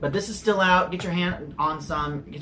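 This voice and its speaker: With an American accent, a man speaks at a moderate pace and a fairly high pitch with ordinary pitch variation, over noticeable background noise. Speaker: soda reviewer. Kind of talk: casual review chat. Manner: animated.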